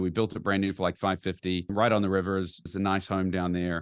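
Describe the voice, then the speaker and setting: Against a quiet background, a man with a New Zealand accent and a very deep, low voice talks very fast in a flat monotone. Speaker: real estate investor. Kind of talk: podcast interview.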